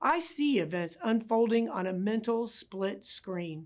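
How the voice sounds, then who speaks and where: Using a normal speaking voice, a woman talks fairly slowly at a fairly high pitch with lively intonation, in a very clean recording against a silent background. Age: 60s. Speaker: city mayor, former police chief. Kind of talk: prepared public address. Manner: formal.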